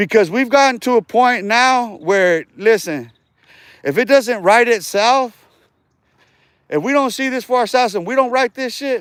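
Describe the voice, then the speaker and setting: In a very clean recording with a silent background, a man with an American accent speaks at a moderate pace in an extremely high pitch with ordinary pitch variation. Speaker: livestreamer. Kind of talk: casual rant on livestream. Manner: animated; repetitive and halting.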